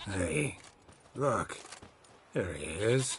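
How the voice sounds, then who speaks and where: A man's put-on character voice, raspy and fairly low, with very wide pitch swings. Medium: video game.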